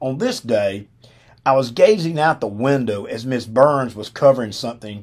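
Speaking with a Southern US accent at a moderate pace, a man is heard on a very clean recording with a silent background. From Alabama. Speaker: podcast host, retired football coach. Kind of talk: storytelling monologue. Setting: studio.

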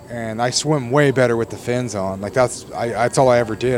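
A man rattles along very fast while noticeable noise runs in the background. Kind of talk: angry rant, profane venting about being stuck in a job, street-casual. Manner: exasperated, heated, rapid-fire, swearing, rhetorical questions; sarcastic, incredulous, frustrated, emphatic.

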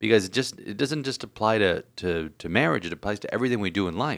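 In a very clean recording with a silent background, a man with a fairly low pitch speaks fairly quickly in a normal speaking voice, using lively intonation. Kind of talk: casual chat.

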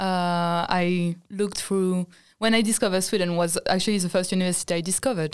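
A woman with a French accent at medium pitch and a very fast pace, fairly even intonation, in a very clean recording with a silent background. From France. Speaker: design student. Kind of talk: casual chat.

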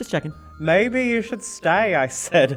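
Lively intonation from an unforced reading voice.

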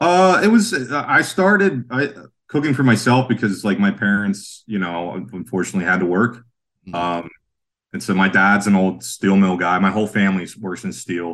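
In an ordinary speaking voice, a man talks at a moderate pace with a fairly low pitch and ordinary pitch variation. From western Pennsylvania, Sharon. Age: 40s. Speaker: chef and breakfast cart owner. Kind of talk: casual interview chat.

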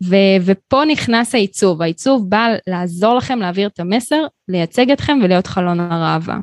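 A woman has an ordinary speaking voice at a medium pitch, with lively intonation and a moderate pace. The sound is dry and close, with no echo. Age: 30s. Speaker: graphic designer and studio owner. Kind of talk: interview.

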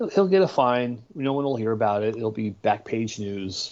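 In an unremarkable speaking voice with an American accent, the speaker talks at a fairly slow pace with fairly even intonation. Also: man. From northern New Jersey, Bergen County. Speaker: podcast co-host. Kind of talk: casual chat.

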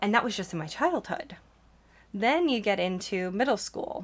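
At a moderate pace, a woman speaks loudly in an animated, medium-pitched voice. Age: 30s. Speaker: podcast host and ADHD life coach. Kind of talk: solo podcast monologue.

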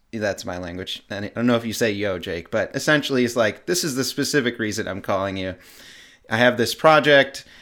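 A man with a plain, everyday voice and lively intonation. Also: very clean recording, silent background. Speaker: musician, nonprofit organizer. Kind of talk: interview.

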